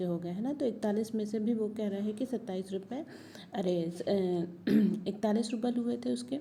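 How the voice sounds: A natural reading voice shows ordinary pitch variation throughout.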